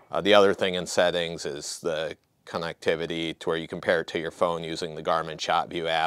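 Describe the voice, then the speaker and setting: A man is heard against a quiet background in a dry sound with no echo. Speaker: product demonstrator. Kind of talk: tutorial. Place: open country. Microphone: lapel.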